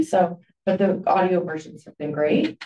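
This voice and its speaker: Room echo is audible. A woman is the one talking. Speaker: forum moderator. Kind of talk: moderator announcements. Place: meeting room.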